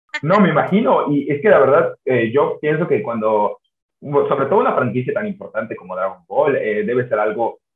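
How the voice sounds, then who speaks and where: A man speaks with audible room echo against a quiet background. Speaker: podcast host. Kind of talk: interview question. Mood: friendly, smiling. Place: home room. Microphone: video call.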